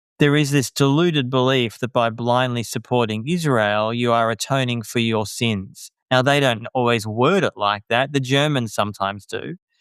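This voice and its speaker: A man talks in an Australian accent at a moderate pace. His voice sits at medium pitch with ordinary pitch variation. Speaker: journalist and author. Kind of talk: interview. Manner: animated.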